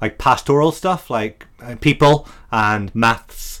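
In a very clean recording with a silent background, a man speaks with an Irish accent. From Ireland. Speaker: freelance web developer, former teacher. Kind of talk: casual chat. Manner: lilting.

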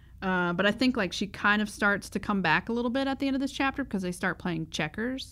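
Lively intonation and a bright, sharp tone carry this very fast speech with hardly any pauses, recorded very cleanly against a silent background. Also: woman, medium pitch for a woman. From US South. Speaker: podcast co-host. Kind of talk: casual chat.

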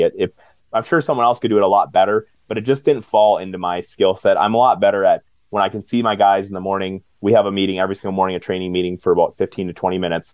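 A man with an American accent has a fairly low pitch. He speaks at a very fast pace. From central Minnesota, US. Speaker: home maintenance business owner. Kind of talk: interview.

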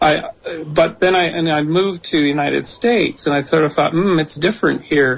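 This man has a plain, everyday voice, fairly high in pitch, with ordinary pitch variation, a fairly quick pace and very even loudness. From Canada. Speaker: author of a political reform blueprint. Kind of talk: radio interview. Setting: remote call via Skype into radio studio.

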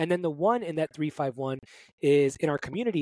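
A man with an American accent, in a dry, close sound with no echo. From Brooklyn, New York. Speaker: fitness coach. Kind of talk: interview.

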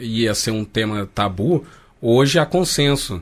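A man with an unremarkable speaking voice holds a medium pitch that varies in an ordinary way, recorded very cleanly against a silent background. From Rio de Janeiro, Brazil. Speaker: translator. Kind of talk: casual chat.

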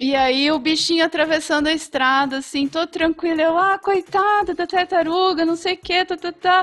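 A woman speaks at an extremely high pitch, with fairly even intonation. Her pace is moderate, with hardly any pauses. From Ribeirão Preto, São Paulo interior. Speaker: veterinarian. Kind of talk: casual chat.

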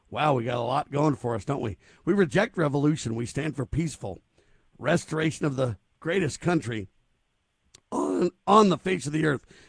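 In an American accent, a man speaks at a moderate pace and fairly high pitch with vocal fry. He takes long, frequent pauses, and the sound is dry and close with no echo. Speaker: radio talk show host. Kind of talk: talk radio interview.

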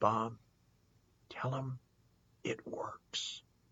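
This is a put-on character voice. It sounds raspy at a low-to-middle pitch.

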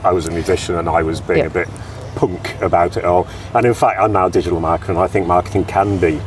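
There is noticeable background noise behind this man. He speaks with an English accent at a very fast pace. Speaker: podcast host. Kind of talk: casual interview. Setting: outdoors in a park.

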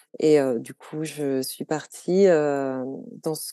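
In a dry, close sound with no echo and a quiet background, a woman speaks with a very deep, low pitch, a dark, mellow tone and monotone, flat intonation. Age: 30s. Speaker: food photographer and magazine co-founder. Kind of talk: casual interview.

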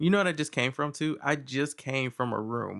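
An animated man with an American accent, a fairly quick pace and ordinary pitch variation over a quiet background. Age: 30s. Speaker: podcast host. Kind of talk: casual chat.

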